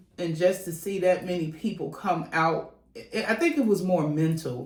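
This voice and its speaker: A woman's fairly low-pitched voice over noticeable background noise. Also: ordinary pitch variation, moderate pace. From West Side of Chicago. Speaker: community leader, nonprofit founder. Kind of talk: interview answer.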